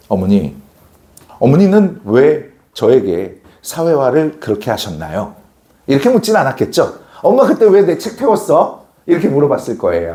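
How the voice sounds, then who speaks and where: The tone is animated. The pace is moderate. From non-Seoul region of South Korea. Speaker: academy social studies teacher. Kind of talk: lecture. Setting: classroom with students, recorded on camera. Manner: animated storytelling.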